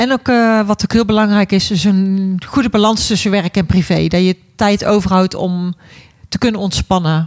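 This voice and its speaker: The delivery comes at a moderate pace with fairly even intonation and very even loudness. The sound is dry and close, with no echo. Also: woman, medium pitch for a woman. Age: 40s. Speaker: care worker. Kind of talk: casual chat.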